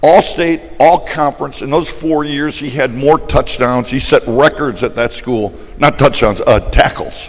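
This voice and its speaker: With noticeable background noise, a man talks at a fairly slow pace. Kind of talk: testimony.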